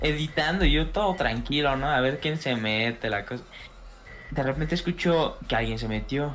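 Someone speaks with a Mexican accent while music plays in the background. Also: man, moderate pace. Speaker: friend. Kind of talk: casual chat.

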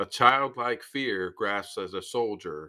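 The voice is bright and sharp in tone, moving at a fairly slow pace with ordinary pitch variation on a very clean recording with a silent background. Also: man. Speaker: podcast host. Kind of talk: history documentary narration. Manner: dramatic, spooky, theatrical; emphatic, gruesome storytelling.

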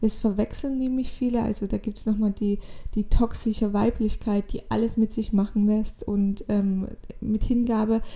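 Fairly high in pitch and somewhat breathy, a woman's voice has a dark, mellow tone. She speaks fairly slowly with fairly even intonation. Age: 20s. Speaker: spiritual podcaster. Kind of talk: solo spiritual monologue. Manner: halting.

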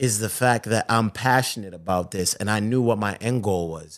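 A man with an American accent and a normal speaking voice speaks at a medium pitch and moderate pace. His pitch varies in an ordinary way, and the recording is very clean with a silent background. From Zimbabwe, then Boston. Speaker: sports TV host. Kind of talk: casual interview chat.

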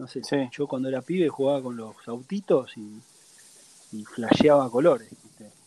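With a Rioplatense accent, a man speaks at a medium pitch and a moderate pace with ordinary pitch variation. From Argentina, Buenos Aires. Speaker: traveling family sailor, former theater owner. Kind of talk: casual interview.

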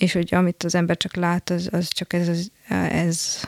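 A woman speaks fairly slowly at a fairly low pitch, her intonation flat and monotone. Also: dry, close sound with no echo. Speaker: architect. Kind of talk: interview. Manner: halting.

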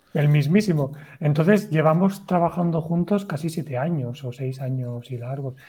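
An ordinary speaking voice from a man, fairly high in pitch with ordinary pitch variation, at a moderate pace. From Valencia, Spain. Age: 30s. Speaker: writer and cyclist. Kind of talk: casual interview chat. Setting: video call livestream.

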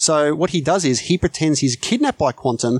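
In a very clean recording with a silent background, a man with an Australian accent talks at a moderate pace and a fairly high pitch. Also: dry, close sound with no echo. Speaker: podcast guest, film podcaster. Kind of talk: casual chat.

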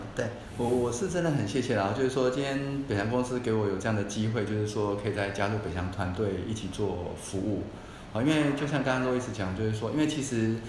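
Noticeable background noise and audible room echo surround the recording. A man speaks very fast in a medium-pitched voice with ordinary pitch variation. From Taiwan. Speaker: former bank manager rejoining workforce. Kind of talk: casual interview chat.

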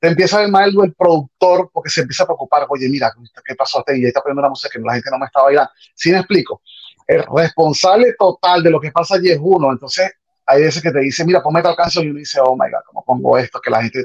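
A man's high pitch with ordinary pitch variation, a very fast pace, and a dry, close sound with no echo. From Venezuela, Caracas. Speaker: salsa DJ. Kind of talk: interview. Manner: halting.

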